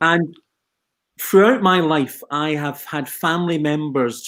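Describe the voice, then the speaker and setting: On a very clean recording with a silent background, a man speaks at a moderate pace with a Scottish Highlands and Islands accent. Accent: Scottish Highland and Islands. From Scotland, Western Isles (Skye). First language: Gaelic and twin speak. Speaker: social care leader. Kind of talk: panel interview.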